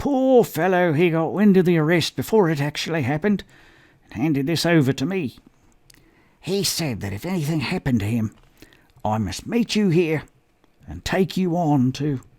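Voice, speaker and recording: A hoarse man in a put-on character voice, at a moderate pace with long, frequent pauses. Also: fairly high pitch for a man. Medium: read story. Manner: hushed, secretive.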